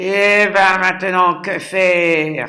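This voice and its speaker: A man uses a put-on character voice, high-pitched and monotone with flat intonation, speaking at a very slow pace. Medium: read story. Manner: brusque, impatient.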